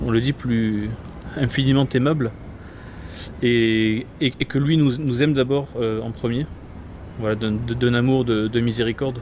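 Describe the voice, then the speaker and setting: Pausing long and often, a man talks at a fairly slow pace with fairly even intonation and a medium pitch. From southern France, Gard. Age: 20s. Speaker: priest-to-be, seminarian. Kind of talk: interview. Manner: halting, many hesitations.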